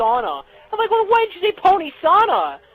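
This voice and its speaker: Against noticeable background noise, a man talks at a fairly quick pace. His pitch swings very widely. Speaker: fan fiction writer. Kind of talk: casual interview.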